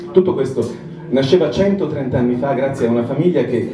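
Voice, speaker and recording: Audible room echo and noticeable background noise come through as a man speaks at a moderate pace with lively intonation. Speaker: narrator. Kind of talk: scripted narration. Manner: dramatic storytelling.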